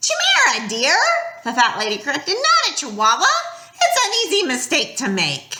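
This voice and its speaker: Using a put-on character voice, a woman speaks at a moderate pace with a high pitch and very wide pitch swings. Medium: read story. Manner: falsely sweet, hissing.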